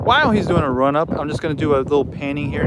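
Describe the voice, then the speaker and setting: Over noticeable background noise, a man with a fairly high pitch talks at a very fast pace with ordinary pitch variation. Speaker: aviation YouTuber. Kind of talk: live stream commentary. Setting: outdoors at an airfield museum. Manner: casual, halting.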